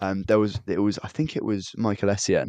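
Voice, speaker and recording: A man has an unremarkable speaking voice with a fairly low pitch. He talks at a fairly quick pace in a dry, close sound with no echo. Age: 20s. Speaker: podcast co-host. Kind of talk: casual chat.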